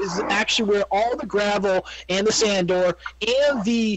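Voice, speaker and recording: A high-pitched man with ordinary pitch variation, against noticeable background noise. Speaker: gaming video creator. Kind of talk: gameplay commentary. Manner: fast.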